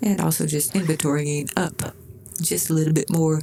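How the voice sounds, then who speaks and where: With a Southern US accent, a woman talks at a moderate pace in a very deep, low voice. Noticeable background noise can be heard. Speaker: gaming YouTuber. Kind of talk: gameplay commentary. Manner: casual, thinking aloud with fillers.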